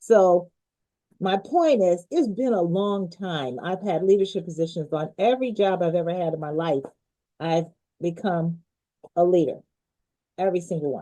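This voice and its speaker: A woman with a dark, mellow tone and a fairly low pitch speaks at a moderate pace with ordinary pitch variation. Long, frequent pauses break up her speech. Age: 70s. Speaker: leadership expert. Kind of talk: interview.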